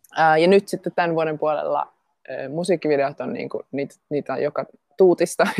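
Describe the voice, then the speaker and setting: A woman's fairly low voice at a moderate pace, with ordinary pitch variation and a dry, close sound with no echo. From Finland, Jyväskylä. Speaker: dancer and actress. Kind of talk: interview. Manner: halting.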